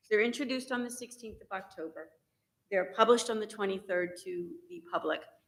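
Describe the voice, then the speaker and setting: A woman talks at a fairly quick pace in a fairly high voice. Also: lively intonation, big swings in loudness. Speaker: resident giving public comment. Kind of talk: public comment at meeting. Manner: loud.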